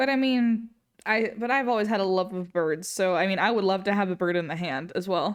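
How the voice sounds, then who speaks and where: Speaking with a non-native accent at a moderate pace and ordinary pitch variation, this voice comes through a very clean recording with a silent background. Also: woman. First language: not English. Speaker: streamer and digital artist. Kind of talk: casual chat while live-streaming painting. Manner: casual, with frequent fillers.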